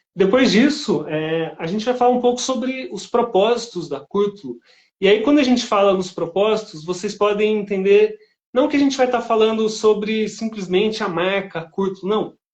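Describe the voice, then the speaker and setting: This man's voice sits high in pitch. His pitch variation is ordinary. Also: moderate pace. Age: 40s. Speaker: live-stream host. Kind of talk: live-stream interview. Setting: live stream. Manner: casual, conversational.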